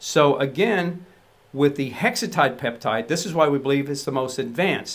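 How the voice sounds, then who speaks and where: This man has an unremarkable speaking voice, fairly high in pitch, with ordinary pitch variation at a moderate pace. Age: 60s. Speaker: supplement formulator. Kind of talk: product explainer. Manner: casual, with fillers.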